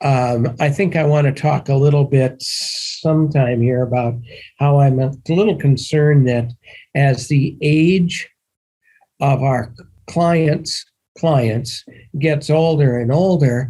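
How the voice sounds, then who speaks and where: Speaking very slowly, a man uses a fairly high pitch and a dark, mellow tone that is somewhat breathy, with fairly even intonation and very even loudness. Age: 70s. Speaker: securities attorney advising syndicators. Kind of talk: podcast interview.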